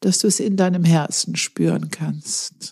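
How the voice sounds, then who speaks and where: A woman with a fairly low pitch speaks very slowly in a dark, mellow, calm, soothing tone that is somewhat breathy. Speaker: meditation guide. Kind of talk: guided meditation. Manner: slow, calm, soothing, with long pauses; gentle instructive cues, second person.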